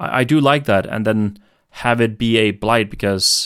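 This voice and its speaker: In a normal speaking voice, a man talks at a fairly slow pace with a fairly low pitch and ordinary pitch variation. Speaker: podcast host. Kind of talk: casual chat.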